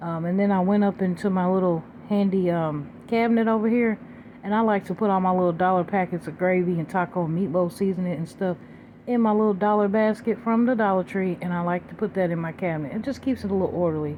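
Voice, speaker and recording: The woman's voice rests at a medium pitch and shifts with ordinary variation. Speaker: cooking vlogger. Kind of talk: casual cooking narration. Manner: fast.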